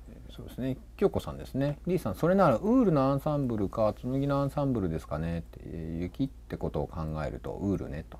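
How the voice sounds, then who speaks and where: Talking at a very fast pace, a man's voice makes big swings in loudness. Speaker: stream director and co-host. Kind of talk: casual live stream talk. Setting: live stream.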